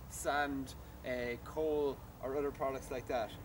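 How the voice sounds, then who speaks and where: Fairly slow pace over light background noise. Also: man. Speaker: shop staff demonstrating a product. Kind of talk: product demonstration. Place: garden. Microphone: camera far.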